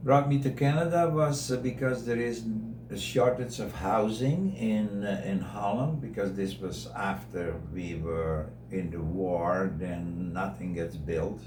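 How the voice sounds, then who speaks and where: With noticeable background noise and audible room echo, a man in a Dutch accent speaks at a fairly slow pace with very wide pitch swings. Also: fairly low pitch for a man. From Netherlands. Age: 80s+. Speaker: interviewee sharing life story. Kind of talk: radio interview.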